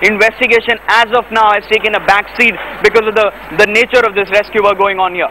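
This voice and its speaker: Against noticeable background noise, a man talks very fast in a raised, projected voice, high-pitched and monotone with flat intonation. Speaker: television news reporter. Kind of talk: live news field report. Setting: outdoors at disaster site.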